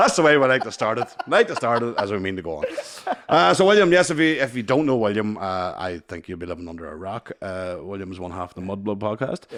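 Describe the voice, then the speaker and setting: A very fast delivery with very wide pitch swings. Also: man, fairly low pitch for a man, big swings in loudness. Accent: Northern Irish. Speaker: podcast host.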